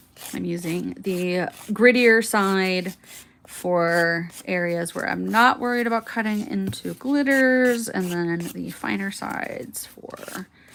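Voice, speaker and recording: A soft-spoken, mumbling woman at a medium pitch and fairly slow pace, with lively intonation and big swings in loudness. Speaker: nail art content creator. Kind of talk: tutorial livestream. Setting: home livestream. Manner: mumbly.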